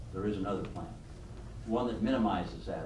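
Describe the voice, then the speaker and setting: The recording carries audible room echo. A man speaks at a fairly quick pace. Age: 70s. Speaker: business leader and speaker. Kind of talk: leadership talk to a class. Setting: room with live audience.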